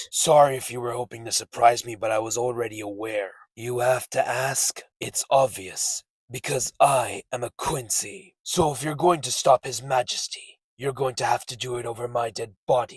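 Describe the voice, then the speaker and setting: A man's raspy, cartoonish character voice at medium pitch, moderate in pace with hardly any pauses. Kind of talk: anime dub character impression.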